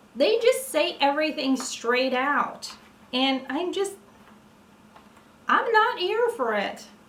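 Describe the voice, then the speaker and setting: Speaking at a very slow pace with long, frequent pauses, a woman uses a high pitch that swings very widely. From Norway. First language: Norwegian. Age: 30s. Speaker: vlogger. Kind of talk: casual chat. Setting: at home, evening, ceiling light. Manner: halting.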